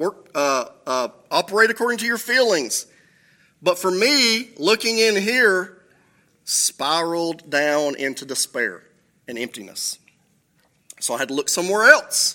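A raised, projected voice with a bright, sharp tone swings very widely in pitch at a fairly slow pace. Long, frequent pauses fall across a very clean recording with a silent background. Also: man, high pitch for a man. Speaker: pastor. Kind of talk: sermon. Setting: church. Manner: self-deprecating, humorous.

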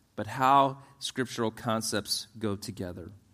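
This man has an unremarkable speaking voice pitched in the medium range. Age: 50s. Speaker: pastor. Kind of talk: sermon. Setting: church.

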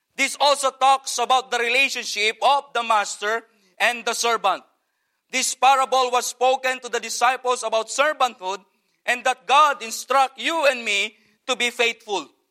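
A man with an extremely high pitch uses a raised, projected voice and a bright, sharp tone, speaking at a moderate pace with fairly even intonation in a dry, close sound with no echo. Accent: Filipino. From Philippines. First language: Filipino language. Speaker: missionary pastor. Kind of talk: sermon. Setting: church.

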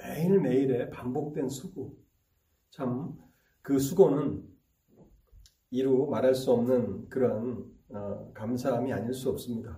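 A man's dark, mellow voice with vocal fry, very slow delivery, long and frequent pauses, ordinary pitch variation, and audible room echo. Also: medium pitch for a man, big swings in loudness. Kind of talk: sermon.

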